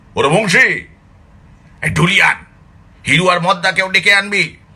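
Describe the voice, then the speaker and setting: A man's put-on character voice, high-pitched, raised and projected, at a moderate pace with very even loudness. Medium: read story. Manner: gruff, commanding.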